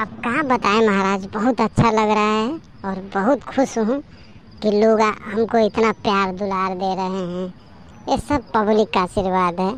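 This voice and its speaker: A woman performs a cartoonish character voice with fairly even intonation. Clear background noise runs behind her. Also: medium pitch for a woman, moderate pace. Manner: deferential, says "maharaj" often.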